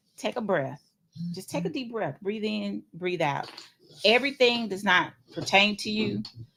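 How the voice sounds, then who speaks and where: A woman with a bright, sharp tone and vocal fry speaks at medium pitch. She goes at a fairly slow pace with lively intonation. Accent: Tennessee. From US South, Nashville, Tennessee. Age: 40s. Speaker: podcast co-host. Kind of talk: casual chat.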